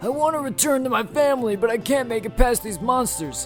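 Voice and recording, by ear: A man in a put-on character voice talks at a fairly quick pace, shaky and extremely high-pitched, with clear music in the background.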